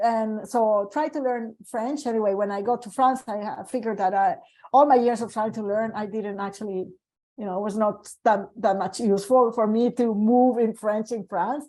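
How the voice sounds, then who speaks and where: A woman with a Colombian accent at a moderate pace, fairly high in pitch, with fairly even intonation, a dark, mellow tone and a quiet background. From Colombia, Medellin. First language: Spanish. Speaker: medical geneticist. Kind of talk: panel discussion. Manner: hesitant, with many fillers.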